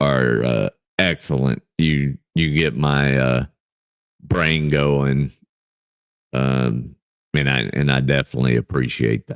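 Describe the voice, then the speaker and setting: The voice is loud. The sound is dry and close, with no echo. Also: man. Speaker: livestream Bible study host. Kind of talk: casual livestream chat. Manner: speaking louder from natural voice; halting, many fillers.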